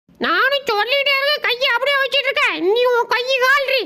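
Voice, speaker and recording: At a moderate pace, a man puts on a character voice. It sits at an extremely high pitch. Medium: voice reel. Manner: brash, cheeky, fast.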